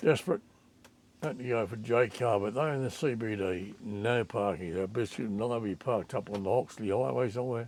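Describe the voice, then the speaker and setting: The accent is strongly Australian. Delivery is fairly quick, with ordinary pitch variation. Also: man, medium pitch for a man. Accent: broad Australian. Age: 80s+. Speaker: travel vlogger. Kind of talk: travel vlog narration.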